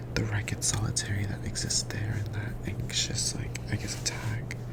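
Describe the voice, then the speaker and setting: Whispered speech from a man amid noticeable background noise. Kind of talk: casual commentary on a poem.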